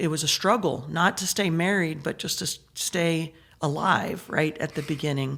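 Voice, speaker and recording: A woman with a southern Illinois accent talks at a moderate pace in a very deep, low pitch with fairly even intonation. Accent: Midwestern American (southern Illinois). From Southern Illinois / Metro East, US Midwest. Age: 60s. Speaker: state senator. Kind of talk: casual interview conversation.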